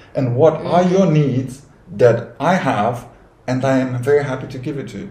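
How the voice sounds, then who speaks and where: A man speaks at a medium pitch and a moderate pace, with ordinary pitch variation. His loudness swings widely, and room echo is audible. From Romania. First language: Romanian. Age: 30s. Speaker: cabin crew. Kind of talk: casual chat. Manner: halting.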